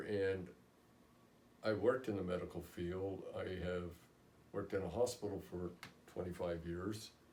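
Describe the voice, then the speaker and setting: Somewhat breathy and very deep in pitch, a man talks at a moderate pace with fairly even intonation against audible room echo. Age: 60s. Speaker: patient. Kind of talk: testimony. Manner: halting.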